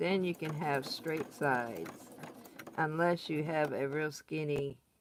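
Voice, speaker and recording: Over noticeable background noise, a woman with a Southern accent speaks at a very deep, low pitch and a fairly slow pace with fairly even intonation. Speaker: crafting tutorial host. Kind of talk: tutorial. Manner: casual, chatty.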